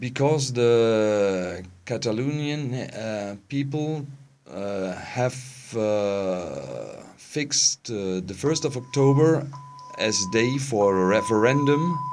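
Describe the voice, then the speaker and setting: With music in the background and audible room echo, a man talks very slowly at a medium pitch with lively intonation. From Germany. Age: 40s. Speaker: interviewee, expatriate resident. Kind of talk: interview. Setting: studio. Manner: halting, many fillers.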